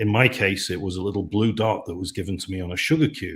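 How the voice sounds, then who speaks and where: Speaking at a moderate pace, a man with a British accent has a fairly low, somewhat breathy voice. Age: 60s. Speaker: company CEO. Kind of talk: webinar panel discussion.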